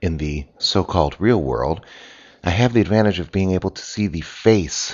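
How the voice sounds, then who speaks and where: With vocal fry, a man speaks at a moderate pace. His pitch varies in an ordinary way. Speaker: physician and podcast host. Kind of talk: solo podcast monologue. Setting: at home, early morning, coffee brewing in background.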